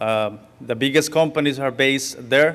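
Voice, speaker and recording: A man's fairly high-pitched voice with a Spanish accent. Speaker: farmworker organizer. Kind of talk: public talk. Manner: halting.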